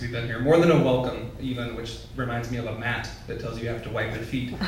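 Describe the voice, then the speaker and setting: With an American accent and medium pitch, a man talks at a fairly quick pace over noticeable background noise. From West Texas. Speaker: poet, writer in residence. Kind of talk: casual remarks to a live audience.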